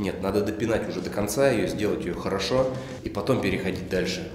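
A man speaks at a very fast pace with ordinary pitch variation. There is audible room echo and light background noise. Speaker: self-builder vlogger. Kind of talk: casual vlog chat. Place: empty room. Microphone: phone near.

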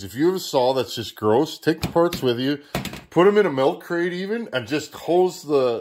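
The man speaks at a moderate pace with lively intonation and a slightly mellow tone.

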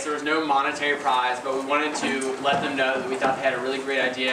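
Noticeable background noise sits under this man's speech. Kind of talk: ceremony announcement. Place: hall. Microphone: podium.

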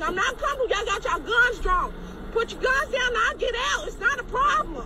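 Over crowd noise in the background, the speech races along at a very fast pace. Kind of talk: tense confrontation, pleading. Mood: scared, upset. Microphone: phone near.

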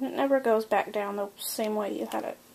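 Light background noise sits behind a woman talking. Her intonation stays fairly even. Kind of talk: tutorial. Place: home room. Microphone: camera far.

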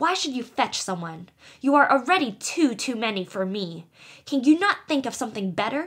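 In a very clean recording with a silent background, a woman puts on a character voice at a moderate pace, high-pitched, shrill and growling, with very wide pitch swings. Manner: rude, snarling, quarrelsome.

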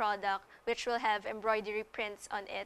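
A woman talks at a moderate pace in a bright, sharp tone. Her intonation is monotone and flat. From Philippines. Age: young. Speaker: social entrepreneur. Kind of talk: TV interview. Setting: studio. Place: studio. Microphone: lapel.

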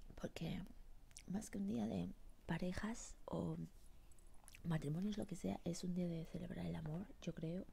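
Whispering at a fairly slow pace, a soft-spoken woman leaves long, frequent pauses. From Spanish, living in the United States. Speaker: ASMR creator. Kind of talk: ASMR eating sounds and whispered chat. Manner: whispering, soft. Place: home room. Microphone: earbuds.

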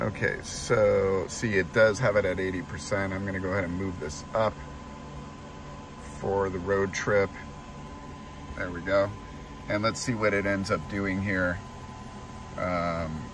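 A man speaks at a fairly slow pace with a very deep, low pitch and fairly even intonation, leaving long, frequent pauses. The sound is dry with no echo, though background noise is noticeable. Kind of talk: casual vlog chat. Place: car. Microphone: phone near.

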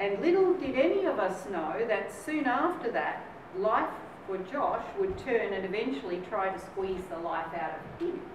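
Noticeable background noise and audible room echo around a woman speaking at a moderate pace. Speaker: guest. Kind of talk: speech. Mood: lively, humorous. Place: hall. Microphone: camera far.

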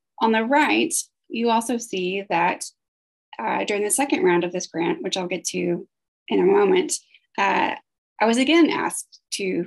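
A woman's fairly high voice with vocal fry and very wide pitch swings, at a moderate pace over a quiet background. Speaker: grant project staff. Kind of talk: conference presentation. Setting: video call. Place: home room. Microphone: video call.

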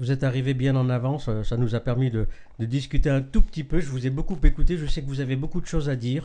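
Delivered at a very fast pace, a man's speech has fairly even intonation, a medium pitch and a dark, mellow tone. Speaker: web TV host. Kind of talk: live interview. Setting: live web broadcast. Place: home room.

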